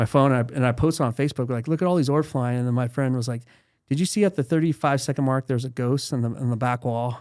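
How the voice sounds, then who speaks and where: On a very clean recording with a silent background, a man with a medium pitch speaks at a very fast pace. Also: ordinary pitch variation. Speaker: real estate investor. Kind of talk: casual chat.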